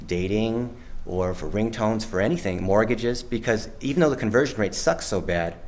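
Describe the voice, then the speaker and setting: There is audible room echo as a man talks in a fairly low pitch. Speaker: tech entrepreneur presenter. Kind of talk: conference presentation. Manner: fast; casual.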